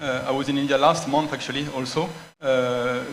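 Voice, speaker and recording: Audible room echo surrounds the voice. A man speaks with fairly even intonation. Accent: French. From France. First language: French. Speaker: cultural centre director. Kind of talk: panel discussion. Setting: stage with audience. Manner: halting, false starts.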